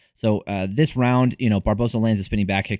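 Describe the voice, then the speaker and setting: A man speaks very fast at a fairly low pitch, with a dry, close sound, no echo and a very clean recording over a silent background. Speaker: MMA podcast host. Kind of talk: fight breakdown commentary. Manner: halting, many fillers.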